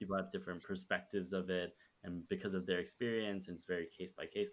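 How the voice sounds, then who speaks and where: An ordinary speaking voice moves along at a fairly quick pace, its pitch varying in an ordinary way. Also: man. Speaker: podcast host and startup cofounder. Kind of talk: podcast intro and interview questions.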